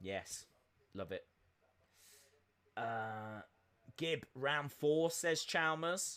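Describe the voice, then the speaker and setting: A man with an English Midlands accent, fairly high in pitch and bright, sharp in tone, with lively intonation, a very slow pace and long, frequent pauses, on a very clean recording with a silent background. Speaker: live-stream host reacting to boxing. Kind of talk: live-stream watch-along chat. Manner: casual, with many filler sounds (uh, um).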